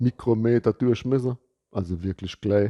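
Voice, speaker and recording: Intonation stays fairly even as a man speaks at a fairly slow pace. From Palatinate, Germany. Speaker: soil ecologist. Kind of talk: casual educational talk to camera. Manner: casual, humorous.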